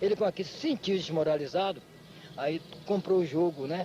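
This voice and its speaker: Speaking at a fairly quick pace, the man has a high pitch. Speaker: capoeira master. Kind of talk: documentary interview.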